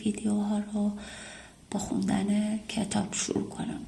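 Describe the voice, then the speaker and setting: Speaking at a very slow pace, a woman keeps a medium pitch. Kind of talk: casual talk to camera, apology and thanks to subscribers.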